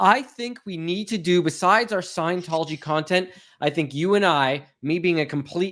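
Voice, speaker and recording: The very clean recording, with a silent background, captures a man speaking in a high voice with ordinary pitch variation. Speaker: livestream host discussing Scientology. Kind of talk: casual live-stream chat. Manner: fast.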